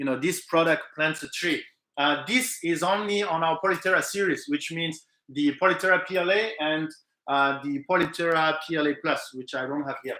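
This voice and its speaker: Bright, sharp speech in a French accent, at a moderate pace with ordinary pitch variation. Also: man, fairly high pitch for a man. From French Pacific island. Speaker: live stream host for a 3D printing material company. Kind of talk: live stream chat answering viewer questions. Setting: live stream. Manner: hesitant with many fillers.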